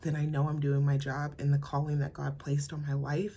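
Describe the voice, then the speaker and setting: Fairly quick in pace, a woman talks with an American accent. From US, Colorado (Pueblo). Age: 20s. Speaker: podcaster, mom. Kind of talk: casual personal monologue. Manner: halting, many fillers.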